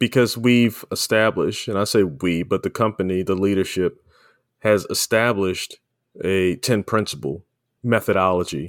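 In an ordinary speaking voice, a man talks at a fairly low pitch and a moderate pace with ordinary pitch variation, on a very clean recording with a silent background and a dry, close sound with no echo. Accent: American. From Baltimore, Maryland. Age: 50s. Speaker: podcast host. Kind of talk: interview.

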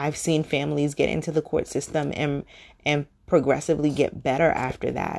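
A woman's very deep, low voice, flat and monotone, with vocal fry over a quiet background. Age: 40s. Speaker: podcast host, single co-parent. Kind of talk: solo podcast monologue. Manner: many filler words (um, you know).

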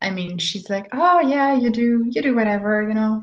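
Speaking with a German accent, a woman uses a fairly high, somewhat breathy voice with lively intonation. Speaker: life coach. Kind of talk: interview.

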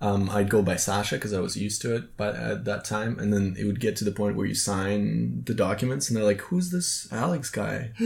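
With a fairly low pitch and a somewhat breathy quality, a man talks at a fairly quick pace with hardly any pauses. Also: ordinary pitch variation. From Eastern Europe. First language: Russian. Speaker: podcast host. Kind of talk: casual chat.

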